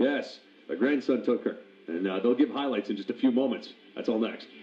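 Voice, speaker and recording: A man's plain, everyday voice, medium in pitch, at a fairly quick pace with ordinary pitch variation. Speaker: radio host. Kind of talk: morning radio show banter.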